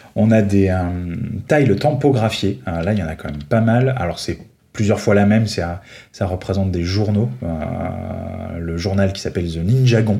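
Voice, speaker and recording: In a dark, mellow tone, a man speaks at a fairly slow pace with ordinary pitch variation and audible room echo. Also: fairly low pitch for a man. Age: 30s. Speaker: Lego fan reviewing sets. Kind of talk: casual chat.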